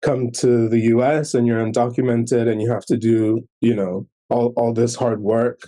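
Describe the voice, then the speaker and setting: A man speaks at a fairly slow pace. His medium-pitched voice has a dark, mellow tone. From El Salvador, raised in San Francisco. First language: Spanish. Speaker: visual artist. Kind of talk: interview.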